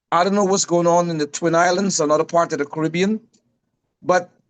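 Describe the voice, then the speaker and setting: A woman speaks at a medium pitch. She has a Guyanese accent. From Guyana. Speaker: panelist. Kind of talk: panel discussion.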